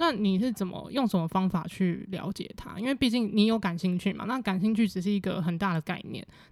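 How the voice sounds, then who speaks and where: A woman with an unremarkable speaking voice talks at a fairly quick pace with hardly any pauses. Her pitch is medium, with ordinary variation. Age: 20s. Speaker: podcast host. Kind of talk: casual interview.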